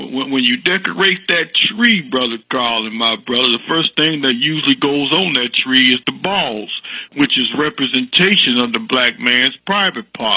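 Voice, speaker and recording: Amid noticeable background noise, a man at medium pitch speaks at a moderate pace with lively intonation. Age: 60s. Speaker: caller. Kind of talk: call-in comment. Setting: phone call. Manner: halting, repeats words; animated.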